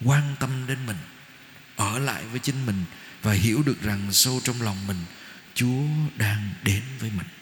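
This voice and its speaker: A somewhat breathy man of medium pitch speaks at a fairly slow pace with ordinary pitch variation and long, frequent pauses, amid audible room echo. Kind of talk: sermon. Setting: church.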